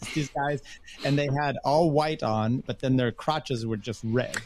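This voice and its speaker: An unremarkable speaking voice from a man with an American accent, medium pitch, fairly even intonation and a fairly slow pace. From US Northwest. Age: 50s. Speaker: podcaster, engineer. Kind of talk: casual chat.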